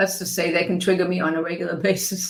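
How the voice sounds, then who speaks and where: At a moderate pace and medium pitch, a woman talks in an unremarkable speaking voice. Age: 60s. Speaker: podcast host and life coach. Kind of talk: interview conversation.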